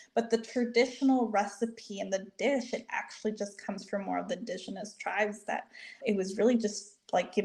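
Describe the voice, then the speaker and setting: Somewhat breathy, a woman with a Spanish accent speaks at a moderate pace. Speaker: registered dietitian. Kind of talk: podcast interview.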